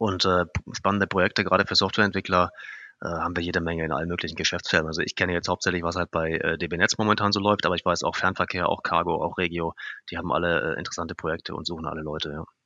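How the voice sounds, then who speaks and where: In a very deep, low voice, a man talks very fast in a flat monotone. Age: 30s. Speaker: software developer. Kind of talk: interview.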